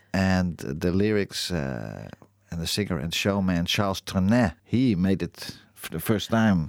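This man's voice is very deep and low. He speaks with a Dutch accent and ordinary pitch variation. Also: fairly slow pace, very clean recording, silent background. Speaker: radio host. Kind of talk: casual chat. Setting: studio. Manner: halting.

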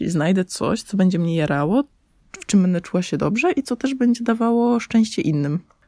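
A woman's dark, mellow tone swings very widely in pitch, captured as a dry, close sound with no echo on a very clean recording with a silent background. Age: 20s. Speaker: podcaster. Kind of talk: personal monologue. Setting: under a blanket in parents' bedroom. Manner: casual.

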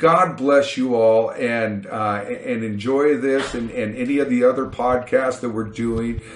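Against noticeable background noise, a man talks at a fairly slow pace with hardly any pauses and fairly even intonation. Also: medium pitch for a man. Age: 50s. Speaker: podcast host. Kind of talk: casual chat.

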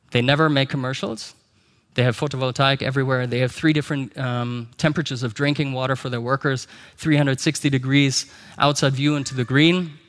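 Here a man speaks with a German accent at a very fast pace. The recording is very clean, with a silent background. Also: medium pitch for a man, fairly even intonation. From Germany. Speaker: company executive. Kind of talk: conference talk. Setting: stage with audience.

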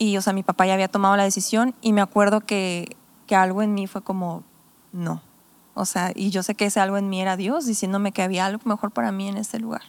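A woman with an ordinary speaking voice talks at a fairly quick pace, medium-pitched with fairly even intonation. The recording is very clean with a silent background and a dry, close sound with no echo. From Mexico, Tepic (Nayarit) and Sonora. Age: 20s. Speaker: pastor. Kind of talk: casual chat.

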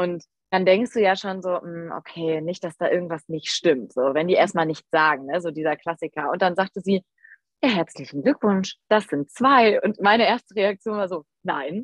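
A woman speaks at a moderate pace with lively intonation. Hers is an unremarkable speaking voice. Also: fairly low pitch for a woman. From Rhineland, near Düsseldorf. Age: 20s. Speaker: photographer and mother of twins. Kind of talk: casual interview chat.

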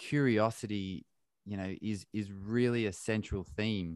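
At a fairly slow pace, a man with an Australian accent speaks in a fairly low pitch with ordinary pitch variation, the sound dry and close with no echo. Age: 30s. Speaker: podcast host and endurance athlete. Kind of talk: casual interview. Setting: remote call.

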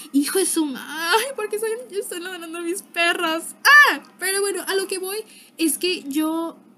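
A woman speaks in a raised, projected voice. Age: young. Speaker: podcaster. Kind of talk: casual monologue. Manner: animated.

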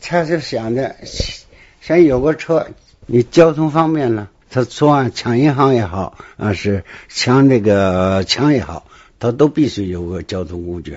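Here a man speaks fairly slowly at medium pitch. His pitch swings very widely. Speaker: retired police detective. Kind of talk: first-hand case storytelling. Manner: halting, many fillers.

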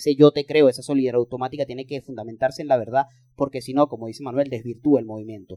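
In a dry, close sound with no echo, a man talks at a medium pitch in a dark, mellow tone with fairly even intonation. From Venezuela. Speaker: podcast co-host, political scientist. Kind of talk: casual chat.

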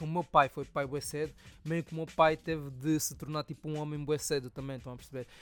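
A man with a fairly high pitch talks at a fairly quick pace in a plain, everyday voice. The recording is very clean, with a silent background. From Angola (Soyo). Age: 20s. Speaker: podcast host and rapper. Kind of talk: casual solo storytelling.

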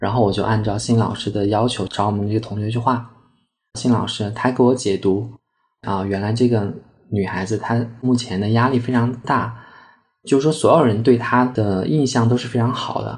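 A man's somewhat breathy voice moves at a moderate pace, his intonation fairly even. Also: medium pitch for a man. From Sichuan, Chengdu. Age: 20s. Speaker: art therapy analyst, former teacher. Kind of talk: personal storytelling interview.

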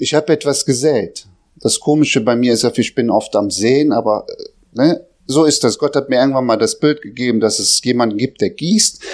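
A man speaks at a medium pitch with ordinary pitch variation and very even loudness. It is an ordinary speaking voice. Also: moderate pace, quiet background. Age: 40s. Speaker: lay preacher. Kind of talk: sermon; testimony.

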